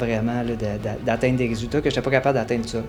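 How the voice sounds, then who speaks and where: A man with a medium-pitched voice speaks while music plays behind him. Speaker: fitness program client giving testimonial. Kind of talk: testimonial.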